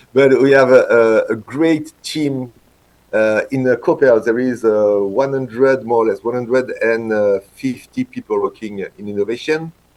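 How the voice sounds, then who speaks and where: This man's pitch is medium and varies in an ordinary way. He delivers his words fairly slowly. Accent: French. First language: French. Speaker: veterinarian and industry innovation manager. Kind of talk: conference talk. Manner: halting, many hesitations and restarts.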